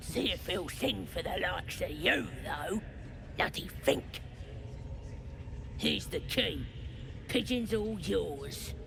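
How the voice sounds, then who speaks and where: A put-on character voice talks at a fairly slow pace, with long, frequent pauses. Loud background noise runs underneath. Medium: video game. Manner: gruff, crude.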